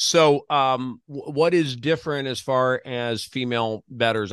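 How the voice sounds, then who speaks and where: With a quiet background, a man speaks in an unremarkable speaking voice, medium in pitch and ordinary in pitch variation. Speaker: podcast host. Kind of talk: interview.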